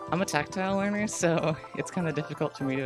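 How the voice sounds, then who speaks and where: Over background music, the speech moves along at a moderate pace. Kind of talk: casual let's-play gaming commentary. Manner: hesitant, many filler words.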